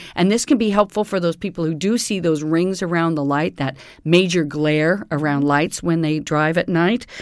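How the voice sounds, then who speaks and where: An ordinary speaking voice from a woman, fairly low in pitch with ordinary variation, at a moderate pace with hardly any pauses. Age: 50s. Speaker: nutrition consultant. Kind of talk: interview on health topic.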